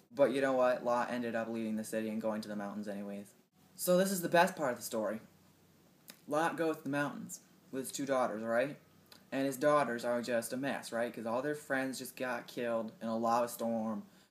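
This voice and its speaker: Fairly quick speech from a man with a normal speaking voice, medium pitch and ordinary pitch variation. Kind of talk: casual retelling of a Bible story to camera.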